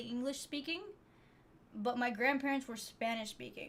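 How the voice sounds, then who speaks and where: Speaking at a moderate pace, a woman uses a high pitch and fairly even intonation. She has an American accent. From United States. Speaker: streamer. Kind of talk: casual chat. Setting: live stream. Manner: hesitant, many repeated words.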